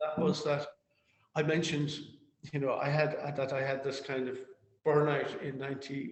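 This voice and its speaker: A man with a Cork accent speaks at a moderate pace in a fairly high pitch, somewhat breathy and monotone with flat intonation. Long, frequent pauses break his speech, and room echo is audible. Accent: Cork Irish. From Ireland, Cork. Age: 60s. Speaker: activist. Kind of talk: interview. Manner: halting, repetitive.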